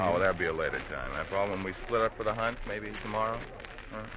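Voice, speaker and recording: Noticeable background noise sits under a man's fairly low voice. He talks very fast with fairly even intonation. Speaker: actor in vintage radio drama. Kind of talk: 1940s radio drama acting. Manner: sly, menacing, taunting.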